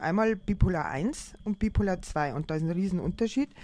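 Speaking at a moderate pace with lively intonation, a woman has an unremarkable speaking voice pitched fairly low. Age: 50s. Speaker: artist and teacher with bipolar disorder. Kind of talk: personal testimony in interview. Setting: on holiday together.

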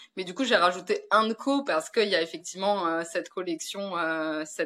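A woman with a normal speaking voice talks at a moderate pace, her fairly low pitch showing ordinary variation, on a very clean recording with a silent background. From France. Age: 30s. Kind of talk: interview.

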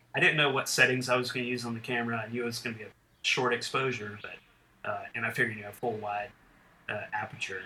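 Speaking very fast, a man with a medium-pitched voice keeps his intonation flat and monotone. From western North Carolina. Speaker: military pilot and photographer. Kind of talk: interview. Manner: halting, many fillers.

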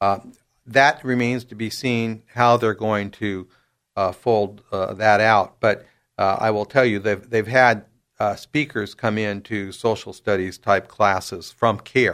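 A man with an American accent talks at a fairly slow pace in a plain, everyday voice. His pitch is fairly low and his intonation fairly even, in a very clean recording with a silent background. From San Diego, California. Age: 60s. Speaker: attorney. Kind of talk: interview.

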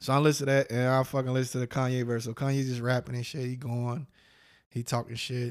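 This man talks at a medium pitch with fairly even intonation. The recording is very clean, with a silent background. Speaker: podcast host. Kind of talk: heated debate. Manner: loud, combative, profane.

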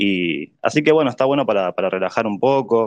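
A man with a plain, everyday voice at a medium pitch, against a quiet background. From Argentina, Buenos Aires. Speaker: NFT artist and community figure. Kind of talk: casual chat.

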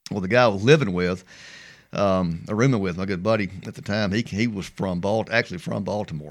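Someone with a Mississippi accent talks at a very fast pace with ordinary pitch variation. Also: man, very clean recording, silent background. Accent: Southern US (Mississippi). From US South. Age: 50s. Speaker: former baseball pitcher. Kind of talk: casual chat. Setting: studio.

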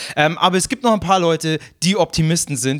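A man's high-pitched voice with a Bavarian accent and ordinary pitch variation. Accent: Bavarian, rolled R. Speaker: podcast host. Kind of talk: comedic podcast chat.

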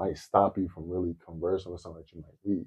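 A man at a very fast pace. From Detroit, US. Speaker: financial analyst. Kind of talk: casual chat. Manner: talkative.

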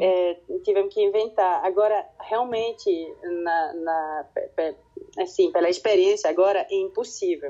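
At a fairly slow pace, a woman speaks with a Swiss French accent. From French-speaking Switzerland. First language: French (speaking Portuguese). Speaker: kindergarten teacher. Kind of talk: interview. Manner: halting, repeats words.

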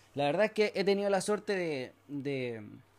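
The voice belongs to a man. The recording is very clean, and the background is silent. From Chile. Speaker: podcast host, entrepreneur. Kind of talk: solo monologue, motivational talk. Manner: hesitant with fillers and restarts.

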